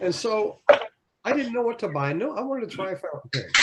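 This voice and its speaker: With very wide pitch swings, a man delivers his words at a fairly quick pace. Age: 70s. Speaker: fountain pen hobbyist guest. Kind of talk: casual chat. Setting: video call. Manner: halting.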